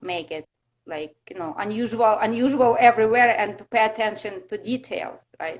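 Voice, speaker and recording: A woman with a Russian accent talks at a moderate pace in a fairly high pitch, with ordinary pitch variation and big swings in loudness. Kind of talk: interview. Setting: live video stream. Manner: halting.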